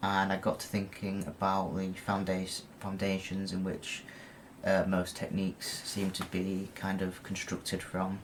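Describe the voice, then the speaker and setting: A man with a British accent speaks in a very deep, low voice. His intonation is monotone and flat, at a fairly slow pace. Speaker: lucid dreaming video blogger. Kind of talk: casual talk to camera. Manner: halting, many fillers and repeats.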